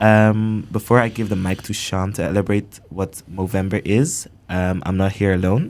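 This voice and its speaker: A man with a normal speaking voice talks at a moderate pace in a fairly low pitch, his intonation fairly even, on a very clean recording with a silent background. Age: 19. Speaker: student podcast host. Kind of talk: podcast introduction.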